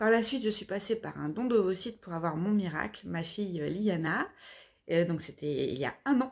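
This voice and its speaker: A woman's lively intonation at a fairly slow pace against a quiet background. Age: 30s. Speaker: author. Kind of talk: self-presentation monologue. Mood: earnest, emotional personal story. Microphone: phone near.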